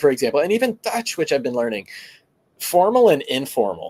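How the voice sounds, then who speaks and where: Very wide pitch swings run through a man's speech, delivered with an American accent. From United States. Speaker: grow show host. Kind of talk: casual chat.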